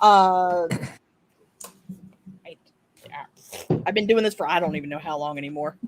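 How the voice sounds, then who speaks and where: Long, frequent pauses break up the speech of a voice with an American accent. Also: moderate pace. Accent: Appalachian twang, comes out when angry. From West Virginia. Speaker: artist, panelist. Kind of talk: casual panel chat.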